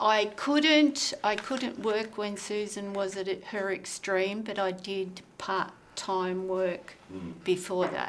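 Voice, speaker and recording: Very slow and with an Australian accent, a woman speaks at a medium pitch with ordinary pitch variation. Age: 70s. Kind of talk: group discussion.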